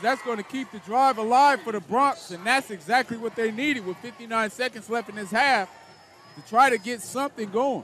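In a raised, projected voice, a man talks at an extremely high pitch with ordinary pitch variation and a moderate pace. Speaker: play-by-play announcer. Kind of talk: live commentary. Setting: stadium broadcast.

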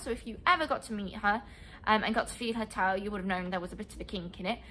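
A woman's bright, sharp tone sits at a medium pitch.

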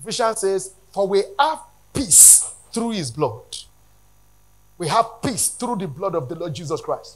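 A man's high voice moves at a fairly slow pace with big swings in pitch.

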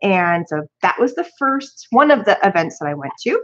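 A woman speaks against a quiet background. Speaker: crafting channel host. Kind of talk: casual live-stream haul chat.

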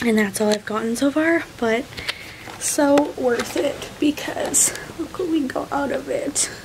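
A fairly slow pace over noticeable background noise. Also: woman, high pitch for a woman, ordinary pitch variation. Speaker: new mother vlogger. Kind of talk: casual vlog chat. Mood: tender, content. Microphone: phone near.

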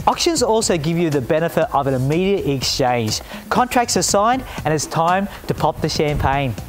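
Over clear music in the background, a man with an Australian accent talks at a fairly quick pace with very wide pitch swings. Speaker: auctioneer and TV presenter. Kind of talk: informative corporate presenter talk with tips for buying and selling at auction. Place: garden. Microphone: lapel.

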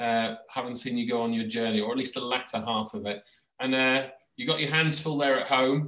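In a British accent, a man talks at a fairly quick pace and medium pitch with fairly even intonation and a bright, sharp tone, audible room echo and a quiet background. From UK. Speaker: education blogger and podcast host; education blogger, podcast host. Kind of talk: casual interview. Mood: relaxed, friendly. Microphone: video call.

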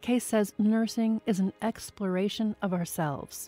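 Over music in the background, a woman with a medium pitch and ordinary pitch variation is heard in a dry, close sound with no echo. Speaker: radio show host. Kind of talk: radio feature narration.

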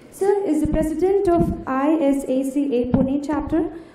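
A woman speaks with ordinary pitch variation, and the room gives her voice an audible echo. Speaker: student event host. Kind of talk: formal introduction speech. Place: hall. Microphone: podium.

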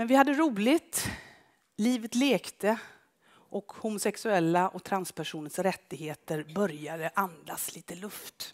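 In an unremarkable speaking voice, a woman at medium pitch talks at a fairly slow pace with big swings in loudness over a quiet background. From Skara, western Sweden; western Sweden. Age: 50s. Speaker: photographer. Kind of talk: public talk with slides. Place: stage. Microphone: headset.

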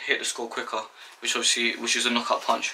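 The pace of this man's speech is fairly quick. There is light noise behind him. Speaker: boxing instructor. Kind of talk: tutorial. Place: home room. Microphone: camera far.

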